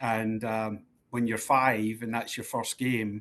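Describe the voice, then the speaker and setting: In a Scottish accent, the speaker keeps a monotone, flat intonation at a moderate pace. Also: man. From Scotland, East End of Glasgow. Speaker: sports club executive. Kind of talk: interview. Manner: hesitant, many fillers.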